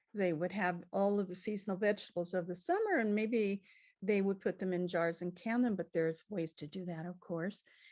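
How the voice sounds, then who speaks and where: A woman's ordinary speaking voice at medium pitch, fairly even in intonation, at a moderate pace over a quiet background. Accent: American. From California. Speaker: cookbook author and cooking teacher. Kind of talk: casual interview.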